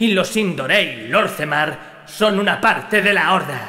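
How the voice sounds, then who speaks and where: A man's high-pitched, menacing voice at a fairly slow pace. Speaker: character voice performed by the narrator. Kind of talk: dramatic character dialogue. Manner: cold, menacing, harsh, contemptuous.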